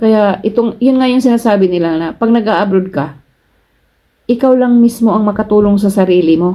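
A woman's dark, mellow voice at medium pitch, with ordinary pitch variation and a moderate pace. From Philippines, Cebu. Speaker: vlogger, overseas Filipino worker. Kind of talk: casual vlog advice. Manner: chatty, laughs often.

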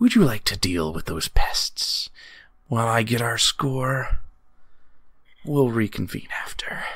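In a raspy, put-on character voice of medium pitch, a man speaks at a fairly slow pace with long, frequent pauses. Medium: actual play. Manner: cool, commanding, threatening.

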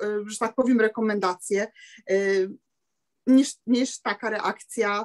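A woman is speaking. The background is quiet. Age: 50s. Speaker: seamstress; sales distributor sharing experience. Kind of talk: testimony. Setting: video call. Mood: cheerful, enthusiastic. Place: home room. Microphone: webcam.

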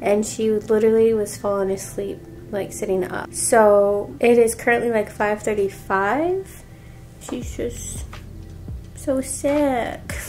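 A woman at a very slow pace over faint music in the background. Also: ordinary pitch variation. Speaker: family vlogger. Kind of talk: casual vlog chat. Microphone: phone near.

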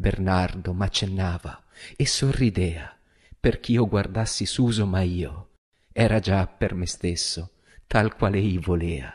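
A man speaks very slowly in a very deep, low voice that is somewhat breathy. The background is quiet. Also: ordinary pitch variation. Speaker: stage actor and director. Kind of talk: poetry reading. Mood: solemn, emotive. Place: studio. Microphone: studio mic.

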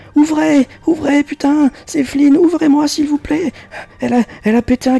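A put-on character voice, high in pitch. It is shouting. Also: fairly slow pace. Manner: screaming, pleading.

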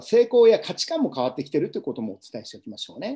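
Against a quiet background, a man with a fairly high pitch and a dark, mellow tone speaks very fast with vocal fry and very wide pitch swings. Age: 50s. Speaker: business coach and seminar speaker; business coach, speaker. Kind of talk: live webinar lecture. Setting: home livestream. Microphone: webcam.

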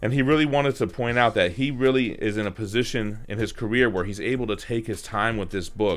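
Over faint background music, a man talks at a very fast pace with ordinary pitch variation. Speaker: comic collector channel host. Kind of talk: product review commentary. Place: home room.

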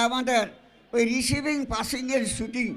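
The man's voice sits at an extremely high pitch. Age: 90s. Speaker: elderly guest speaker. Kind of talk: public speech. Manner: halting.

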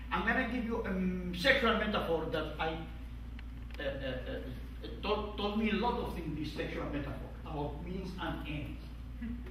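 A fairly slow delivery with audible room echo and light background noise. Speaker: conference panel moderator. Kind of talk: panel discussion. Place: meeting room. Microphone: camera far.

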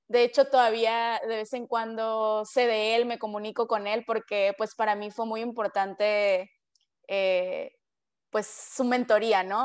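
Fairly high-pitched woman, fairly slow pace, monotone, flat intonation, against a quiet background. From Mexico, Culiacán, Sinaloa; Sinaloa, Mexico. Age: 20s. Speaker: PhD student, scientist; interviewee. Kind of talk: interview. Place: home room. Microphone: video call.

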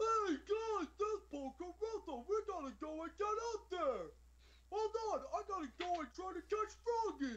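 At a moderate pace, a man performs a put-on character voice pitched extremely high. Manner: goofy, silly.

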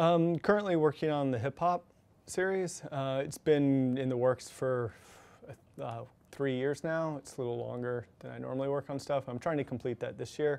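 The speaker has an American accent, ordinary pitch variation and a moderate pace. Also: man. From Texas. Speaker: photographer; guest. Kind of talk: lecture. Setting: stage with audience. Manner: casual, rambling. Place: hall.

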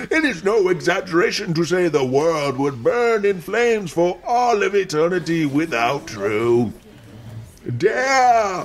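A man does a put-on character voice at a high pitch. He delivers it at a fairly slow pace. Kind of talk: horror narration. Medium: audio drama. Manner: dramatic, relishing, sinister.

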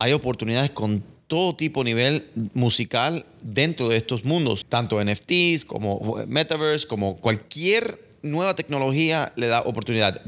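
Fairly slow male speech with lively intonation and very even loudness. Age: 40s. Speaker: entertainment lawyer. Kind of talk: casual chat. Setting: studio. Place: office. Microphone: studio mic.

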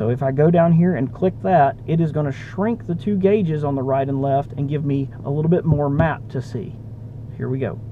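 A man speaks with a fairly high pitch and ordinary pitch variation. His pace is moderate, and clear background noise is present.

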